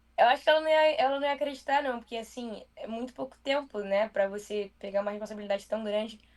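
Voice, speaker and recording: Her pace is very fast. This woman has a fairly high pitch with ordinary pitch variation. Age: 20s. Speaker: TV news presenter. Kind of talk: interview. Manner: casual.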